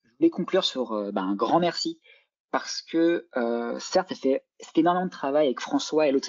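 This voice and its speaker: A man talks at a fairly quick pace. His loudness swings a lot. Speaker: lecturer and neuroscience PhD student. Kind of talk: lecture. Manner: fast.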